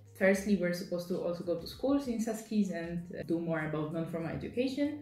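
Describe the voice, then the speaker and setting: A woman's lively, fairly quick speech over music in the background, with audible room echo. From Poland. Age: 20s. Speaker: volunteer. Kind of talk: interview testimony.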